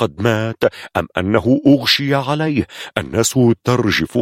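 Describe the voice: This is plain reading aloud with ordinary pitch variation.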